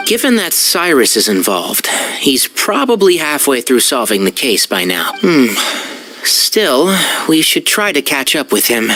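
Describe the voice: A put-on character voice, bright and sharp in tone, with big pitch swings, a fairly slow pace, long, frequent pauses and faint background noise. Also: man, medium pitch for a man.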